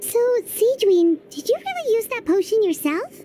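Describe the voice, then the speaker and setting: A squeaky, extremely high-pitched woman's voice comes through in a put-on character act. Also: moderate pace. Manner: surprised.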